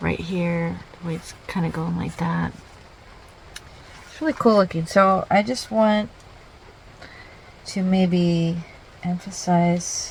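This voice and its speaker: Over noticeable background noise, a soft-spoken woman with a fairly low pitch speaks at a very slow pace, with long, frequent pauses. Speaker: artist. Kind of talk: casual art process narration.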